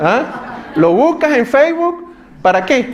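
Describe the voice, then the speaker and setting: A man talks with a Venezuelan accent and very wide pitch swings. Noticeable background noise runs behind him. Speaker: pastor. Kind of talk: sermon. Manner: conversational, addresses audience with questions.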